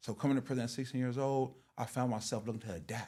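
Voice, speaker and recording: The man's voice sits at a medium pitch. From South Los Angeles. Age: 30s. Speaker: formerly incarcerated guest. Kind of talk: casual interview, life story.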